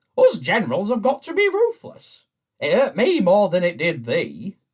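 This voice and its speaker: In a put-on character voice, the speaker takes a pompous tone at a moderate pace. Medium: stage play.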